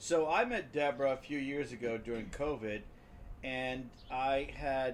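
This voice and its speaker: In a plain, everyday voice, a man speaks at a fairly slow pace with a medium pitch and ordinary pitch variation. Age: 60s. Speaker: home care business owner. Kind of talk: casual conversation.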